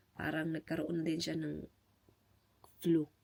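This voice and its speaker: This woman talks at a moderate pace in a fairly low pitch, her tone dark and mellow. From Philippines. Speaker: vlogger. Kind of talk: casual vlog talk. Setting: at home.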